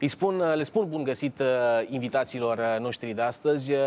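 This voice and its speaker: At a moderate pace, the man's pitch varies in an ordinary way. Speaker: TV show host. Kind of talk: TV talk show discussion. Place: studio. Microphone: lapel.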